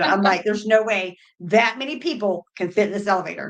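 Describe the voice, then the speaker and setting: A woman at medium pitch talks at a very fast pace with ordinary pitch variation. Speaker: cruise podcast co-host. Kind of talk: casual chat. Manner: loud.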